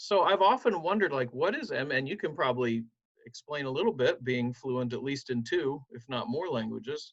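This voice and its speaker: A man with an unremarkable speaking voice talks at a fairly quick pace, his pitch fairly high and his intonation lively. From southern Ohio, Appalachian roots. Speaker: pastor. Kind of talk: interview.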